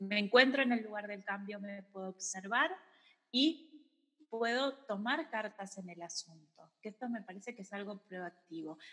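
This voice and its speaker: A woman at medium pitch with a bright, sharp tone, a fairly slow pace, ordinary pitch variation and big swings in loudness. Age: 30s. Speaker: psychologist and yoga teacher. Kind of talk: casual chat.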